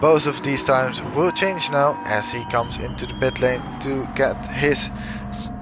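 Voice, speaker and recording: Speaking with a Dutch accent, a man keeps to a medium pitch at a fairly slow pace. Noticeable background noise runs behind him. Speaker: sim racing commentator. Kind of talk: live commentary.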